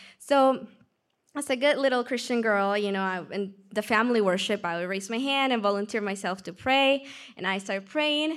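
Recorded very cleanly against a silent background, a woman with a Peruvian accent speaks at a moderate pace and medium pitch with ordinary pitch variation. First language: Spanish. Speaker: church member sharing testimony. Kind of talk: testimony.

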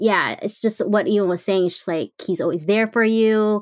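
A woman speaks in a normal speaking voice with ordinary pitch variation. The recording is very clean, with a silent background and a dry, close sound with no echo. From US West Coast. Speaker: social media personality. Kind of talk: casual chat.

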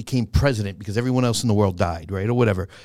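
A man with a New York accent speaks with lively intonation on a very clean recording with a silent background. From Bronx, New York, Puerto Rican family. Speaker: comedian and actor. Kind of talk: casual chat.

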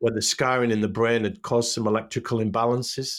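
A man with a medium pitch talks at a fairly quick pace in a flat, monotone delivery. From northern England (Hull). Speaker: stroke survivor, interviewer and author. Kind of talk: testimony. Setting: video call.

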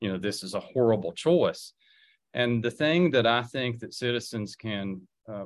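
Fairly slow man with an Appalachian accent, ordinary pitch variation, and a quiet background. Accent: Appalachian Southern US. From Southwest Virginia, Wise County. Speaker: political candidate, former school administrator. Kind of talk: radio interview.

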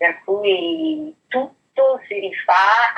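Her pitch moves in very wide swings as this woman talks. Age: 50s. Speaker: perfume brand training manager. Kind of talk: interview.

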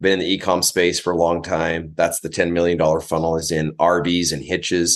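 A man with a very deep, low voice speaks fairly quickly, with hardly any pauses. His intonation is monotone and flat. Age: 40s. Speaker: business coach. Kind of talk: casual interview.

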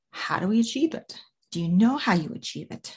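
A woman's somewhat breathy, dark, mellow tone at a moderate pace against a quiet background. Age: 40s. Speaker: podcast host and life coach. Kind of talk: motivational solo podcast talk. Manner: casual, conversational with fillers.

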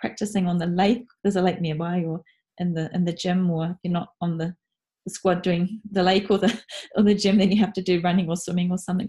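Somewhat breathy and very fast, the speech comes in a New Zealand accent with fairly even intonation. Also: woman. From New Zealand, North Island. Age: 40s. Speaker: freelance writer and cross-cultural trainer. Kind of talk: interview.

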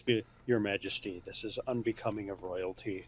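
A man's put-on character voice, rumbling and fairly low in pitch, at a moderate pace. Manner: gentle, reproving.

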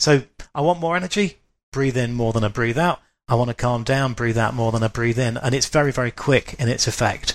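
In a very clean recording with a silent background, a man speaks at a medium pitch with ordinary pitch variation. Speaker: writer and wisdom teacher. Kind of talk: casual chat. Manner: fast.

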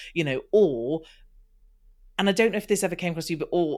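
Her pitch fairly low and her intonation lively, a woman speaks in an unremarkable speaking voice. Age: 40s. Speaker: podcast host; business owner, sober. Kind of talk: casual interview.

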